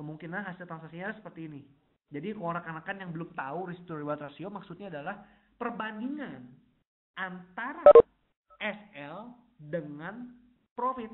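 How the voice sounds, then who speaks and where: A man's high-pitched voice with long, frequent pauses. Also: ordinary pitch variation, moderate pace. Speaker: forex technical analyst presenting webinar. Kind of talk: webinar tutorial. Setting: online webinar. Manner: casual, many fillers. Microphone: unstable internet connection.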